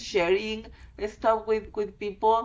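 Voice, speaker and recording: A woman's fairly high voice with a Spanish accent. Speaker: fluid art teacher. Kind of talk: interview.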